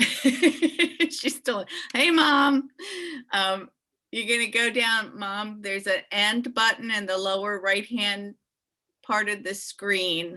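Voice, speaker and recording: A woman speaks at a fairly high pitch with lively intonation. Her pace is very slow. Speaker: college admissions consultant. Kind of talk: webinar wrap-up, casual chat. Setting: video call webinar.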